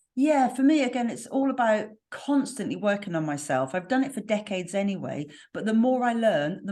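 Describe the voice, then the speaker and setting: A woman with a slight West Country accent and a dark, mellow tone. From West Country, southwest England. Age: 50s. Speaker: spiritual healer and mentor. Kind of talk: podcast interview.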